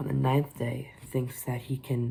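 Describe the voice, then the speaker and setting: Somewhat breathy and dark, mellow in tone, a man speaks at a medium pitch. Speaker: book reviewer. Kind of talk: casual book review to camera. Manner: hesitant, rambling.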